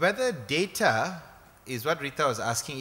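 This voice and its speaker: A man with a Malaysian accent. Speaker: human rights activist. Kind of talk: conference talk. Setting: stage with audience. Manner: halting, many repeated words; informal, joking. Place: hall. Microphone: podium.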